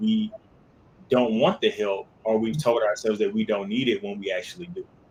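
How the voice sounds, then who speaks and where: A man talks at a moderate pace and a medium pitch for a man. His pitch variation is ordinary. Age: 40s. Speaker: co-host of wellness talk show. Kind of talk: casual discussion. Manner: halting, many repeated words.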